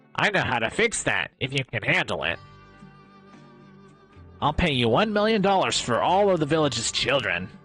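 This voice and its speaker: A man puts on a nasal character voice with a fairly high pitch at a moderate pace. Faint music plays in the background. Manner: suave.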